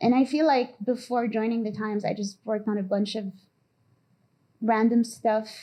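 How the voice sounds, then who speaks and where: A woman speaks at a moderate pace in a fairly high, dark and mellow voice with fairly even intonation against a quiet background. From Lebanon, Beirut. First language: not English (English is her third language). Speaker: graphic designer. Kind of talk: lecture. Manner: casual, hesitant with many fillers.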